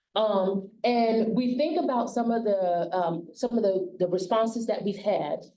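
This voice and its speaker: In a Southern US accent, a woman talks at a fairly slow pace, her pitch moving in an ordinary way. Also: hardly any pauses. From US South. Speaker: county aging services director, forum facilitator. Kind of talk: public forum facilitation. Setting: public forum with audience. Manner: loud.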